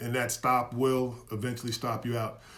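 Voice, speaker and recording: In an animated tone, a man speaks at medium pitch, with audible room echo. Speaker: investing educator. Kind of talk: live stream lecture. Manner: fast.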